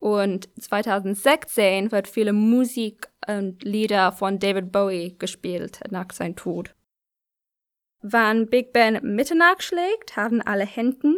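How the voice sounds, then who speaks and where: A woman with an English accent speaks very slowly at a medium pitch with ordinary variation, on a very clean recording with a silent background. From London, England. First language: English (speaking German). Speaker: contributor from abroad. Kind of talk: read-out statement. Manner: halting, with fillers.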